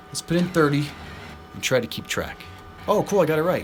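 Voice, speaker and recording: Over noticeable background noise, a man with an American accent speaks at a moderate pace and a fairly high pitch. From US Southwest. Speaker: slot machine streamer. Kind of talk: live stream commentary. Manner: animated.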